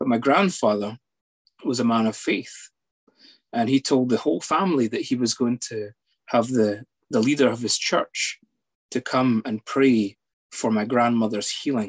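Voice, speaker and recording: A man speaks at a fairly slow pace with long, frequent pauses. The background is quiet. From Scotland, near Edinburgh; Scotland. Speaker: psychologist; guest. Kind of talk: personal testimony. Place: home room. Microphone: video call.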